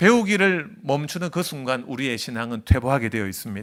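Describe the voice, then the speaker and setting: The voice has a bright, sharp tone and swings very widely in pitch. The recording is very clean, with a silent background. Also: man. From non-Seoul region of Korea. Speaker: seminary professor and pastor preaching as guest. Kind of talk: sermon. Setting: church service, live broadcast.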